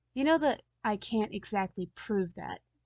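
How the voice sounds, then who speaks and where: Putting on a raspy, rumbling character voice at a medium pitch, a woman speaks at a moderate pace with lively intonation. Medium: read story. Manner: grumbling, irritable.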